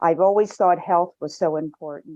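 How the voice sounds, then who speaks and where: Her voice is fairly low for a woman, with a dark, mellow tone, recorded dry and close with no echo. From United States. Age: 70s. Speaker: shame and guilt counselor, retired nurse. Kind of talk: interview.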